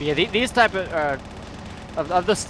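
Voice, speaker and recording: A man's lively intonation at a moderate pace, with music in the background. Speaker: streamer. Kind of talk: casual chat. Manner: halting.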